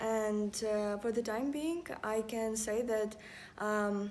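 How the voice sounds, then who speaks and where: A woman with a fairly high pitch talks at a very slow pace with fairly even intonation. Her tone is dark and mellow, and audible room echo surrounds it. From Ukraine. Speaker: university student. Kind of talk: casual chat. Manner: halting.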